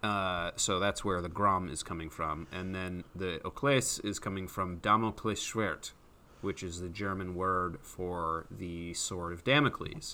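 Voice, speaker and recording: A very deep, low-pitched male voice with a bright, sharp tone, ordinary pitch variation and a fairly slow pace, in a very clean recording with a silent background. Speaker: podcast co-host. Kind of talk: casual chat.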